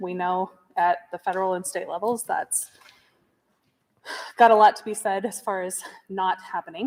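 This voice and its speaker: The speaker has an American accent and keeps a moderate pace. The intonation stays fairly even. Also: woman. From US, local rural school district. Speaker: parent speaking at public meeting. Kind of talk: public comment at school board meeting.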